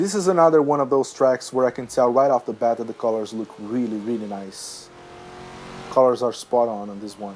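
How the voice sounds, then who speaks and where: With noticeable background noise behind him, a man at medium pitch talks at a fairly quick pace, using ordinary pitch variation and big swings in loudness. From Brazil. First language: Portuguese. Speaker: gaming youtuber. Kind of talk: gameplay commentary. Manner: halting.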